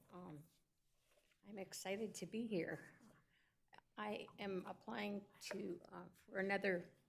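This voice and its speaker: Audible room echo surrounds a voice with fairly even intonation, big swings in loudness and long, frequent pauses. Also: woman. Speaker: commission applicant at city council. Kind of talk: public comment speech. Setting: council chamber, in person.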